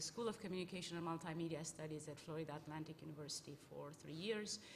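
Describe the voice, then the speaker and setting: Speaking very fast with lively intonation, a woman with a fairly low voice talks over noticeable background noise. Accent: Romanian. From Romania. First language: Romanian. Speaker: communication professor. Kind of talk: panel discussion.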